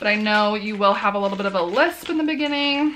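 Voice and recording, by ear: A woman speaks quickly at a medium pitch, with lively intonation, a fairly bright tone and faint background noise.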